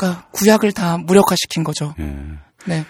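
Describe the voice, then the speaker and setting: A woman's somewhat breathy, medium-pitched voice, dry and close with no echo, in a very clean recording with a silent background. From Seoul, South Korea. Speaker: transgender rights activist and writer. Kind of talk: interview.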